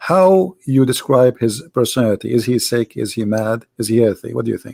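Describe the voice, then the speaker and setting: A man with an Arabic accent, a medium pitch and a dark, mellow tone. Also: ordinary pitch variation, moderate pace, dry, close sound with no echo. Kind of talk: debate. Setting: Skype call, live stream.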